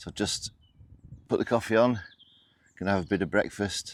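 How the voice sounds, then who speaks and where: In a British accent, a man with a fairly low pitch speaks with lively intonation. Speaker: outdoor camping vlogger. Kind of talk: casual vlog to camera.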